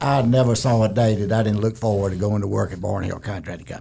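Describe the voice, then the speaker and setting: This man's fairly low, dark, mellow voice is somewhat breathy, with ordinary pitch variation. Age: 70s. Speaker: retired construction executive. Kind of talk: casual interview. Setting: studio.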